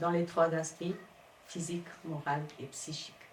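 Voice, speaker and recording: In a room with audible echo, a woman with a fairly low pitch speaks in a monotone, flat intonation. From Cape Verde. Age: 50s. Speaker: domestic violence survivor. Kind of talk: testimony. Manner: halting.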